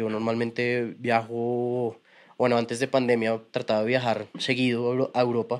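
Speaking at a fairly slow pace, a man uses a medium pitch and monotone, flat intonation on a very clean recording with a silent background. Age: 30s. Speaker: tattoo artist and motocross rider. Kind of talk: casual chat.

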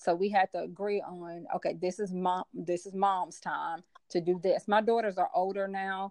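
Speaking at a moderate pace with hardly any pauses, a woman with an American accent and medium pitch uses a monotone, flat intonation, the sound dry and close with no echo. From US South, Memphis, Tennessee. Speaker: business coach. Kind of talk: casual interview.

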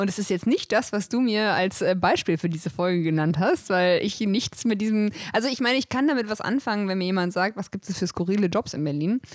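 In a normal speaking voice, a woman talks at a fairly quick pace with hardly any pauses, her pitch medium and its variation ordinary. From German village. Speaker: podcast co-host. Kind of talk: casual chat.

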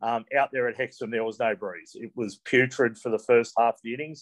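Speaking at a fairly quick pace, a man talks with an Australian accent. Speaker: co-host cricket commentator. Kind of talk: casual chat.

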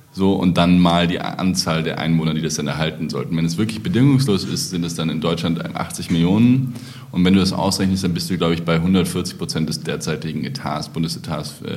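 Noticeable background noise and audible room echo surround a man with a very deep, low voice and ordinary pitch variation. He speaks at a fairly quick pace with hardly any pauses. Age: 30s. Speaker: party founder, politician. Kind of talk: casual chat.

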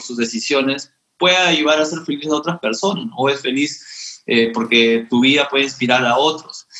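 A man's fairly high voice at a moderate pace. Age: 30s. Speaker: lawyer and entrepreneur. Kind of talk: casual chat. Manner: halting, many fillers and repetitions.

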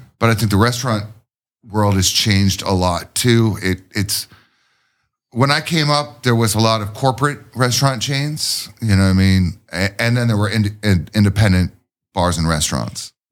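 With an unremarkable speaking voice, a man speaks at a moderate pace and a fairly low pitch, with ordinary pitch variation on a very clean recording with a silent background. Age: 40s. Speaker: craft brewer. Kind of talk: casual chat.

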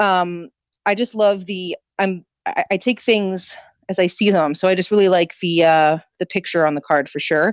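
A woman talks in an unremarkable speaking voice at medium pitch and a moderate pace. Her pitch varies in an ordinary way, and the sound is dry and close with no echo. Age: 30s. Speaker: tarot reader and witch. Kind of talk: casual chat.

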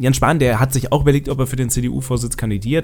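Very fast speech from a man over background music. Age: 20s. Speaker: political podcast host and TV editor. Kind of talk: solo podcast monologue on politics.

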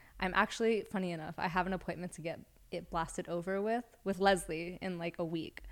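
A woman speaks in an ordinary speaking voice at a medium pitch and a fairly quick pace. Her intonation is fairly even, and the recording is very clean with a silent background. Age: 20s. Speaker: tattoo artist. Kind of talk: casual chat.

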